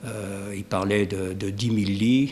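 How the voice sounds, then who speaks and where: This man talks very slowly in a fairly low voice. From Savoie, French Alps (Maurienne valley). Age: 70s. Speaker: retired factory worker, local resident. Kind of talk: interview. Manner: hesitant, many fillers.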